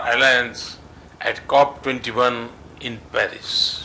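The man's intonation is fairly even as he talks. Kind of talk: formal press statement. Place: hall. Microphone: podium.

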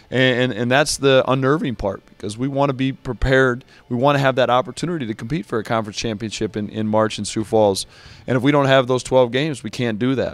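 The speaker talks at a very fast pace with fairly even intonation. The sound is dry with no echo, and faint music plays in the background. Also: man. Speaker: basketball head coach. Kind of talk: interview answer. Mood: earnest, slightly frustrated. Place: stadium. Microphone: handheld.

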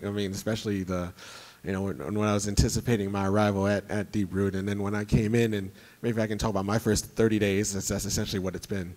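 A man's fairly low voice at a very fast pace. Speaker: competitive pinball player and rules designer; panelist. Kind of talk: convention panel talk. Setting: stage with audience. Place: hall. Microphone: handheld.

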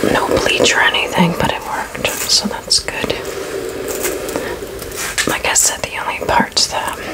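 A woman talks rather slowly while loud noise fills the background. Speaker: ASMR creator. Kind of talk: casual rambling ASMR talk to camera. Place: home room. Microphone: studio mic.

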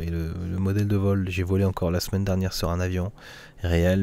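A man talks in a very deep, low voice with a dark, mellow tone. The sound is dry with no echo. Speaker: gaming YouTuber; flight sim streamer. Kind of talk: casual vlog monologue. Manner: hesitant, many fillers. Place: home room. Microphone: studio condenser mic; studio mic.

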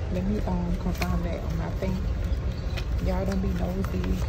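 A woman speaks at a fairly slow pace with ordinary pitch variation over loud background noise. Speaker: travel vlogger. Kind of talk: casual vlog chat. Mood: excited, playful. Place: train. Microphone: phone near.

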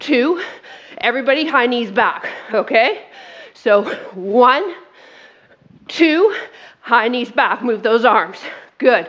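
With lively intonation and a high pitch, a woman speaks at a fairly slow pace. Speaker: fitness instructor. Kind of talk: workout class instruction. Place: studio.

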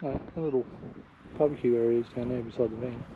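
A man talks at a fairly quick pace in a dry sound with no echo, with light background noise. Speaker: travel vlogger. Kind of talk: casual vlog chat. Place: open country. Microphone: phone near.

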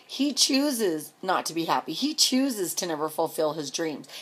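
Very wide pitch swings mark this woman's speech. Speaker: vlogger and truck driver's wife. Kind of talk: angry personal rant to camera, venting about her absent husband. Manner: indignant, escalating, sarcastic rhetorical questions; rambling, repetitive and exasperated. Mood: angry, frustrated. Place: home room. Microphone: phone near.

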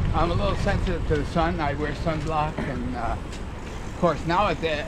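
A man's voice over loud background noise. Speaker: local cycling guide. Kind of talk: interview answer. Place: bicycle.

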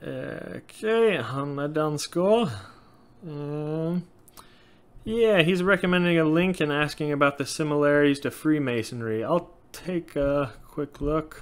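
This man speaks at a fairly slow pace with a fairly high pitch. His pitch varies in an ordinary way. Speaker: YouTuber on Norse paganism. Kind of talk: casual Q&A monologue. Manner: frequent filler words, loosely halting. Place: home room. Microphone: webcam.

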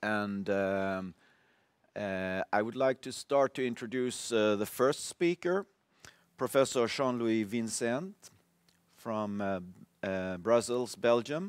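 With a Swedish accent, a man talks at a very slow pace with long, frequent pauses, in a dry sound with no echo against a quiet background. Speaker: symposium chair; symposium moderator. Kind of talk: conference moderation. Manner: halting. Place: stage.

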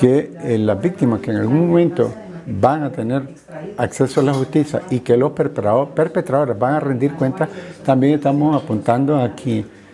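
Noticeable background noise runs under a man's voice. He keeps a moderate pace with ordinary pitch variation. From Nicaragua. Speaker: human rights defender. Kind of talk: press conference statement. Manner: halting. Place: meeting room. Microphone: phone near.

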